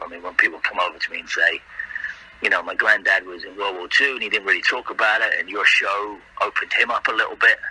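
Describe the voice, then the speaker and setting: A man rattles along at a very fast pace, noticeable background noise behind him. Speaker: actor. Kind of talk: casual interview chat.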